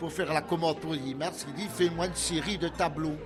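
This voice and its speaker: The room echo is audible. Crowd noise carries in the background. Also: man. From Belgium, Liège province (Soumagne). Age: 60s. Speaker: sculptor and painter. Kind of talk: interview. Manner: halting, many repetitions and hesitations.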